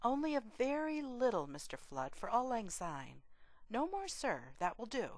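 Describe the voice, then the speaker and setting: Putting on a character voice, a woman sounds husky and shaky at a high pitch, speaking at a moderate pace. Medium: read story.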